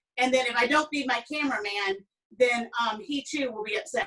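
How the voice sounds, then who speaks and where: In a strong Southern US accent, a woman speaks at a high pitch with ordinary pitch variation. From US South (Alabama). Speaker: cooking instructor. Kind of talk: online cooking class. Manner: chatty, many fillers.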